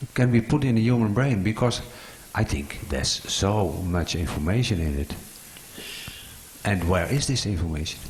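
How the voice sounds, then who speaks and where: A man with a non-native accent speaks at a moderate pace and fairly low pitch, with lively intonation and long, frequent pauses, amid audible room echo and noticeable background noise. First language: not English. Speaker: audience member asking a question. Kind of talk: conference Q&A. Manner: halting.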